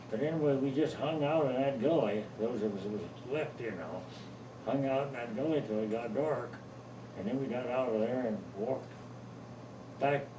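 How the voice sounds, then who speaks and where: In an American accent, a man speaks at a medium pitch with ordinary pitch variation. His pace is moderate with long, frequent pauses, and there is noticeable background noise. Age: 80s+. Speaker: war veteran; farmer. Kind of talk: interview answer.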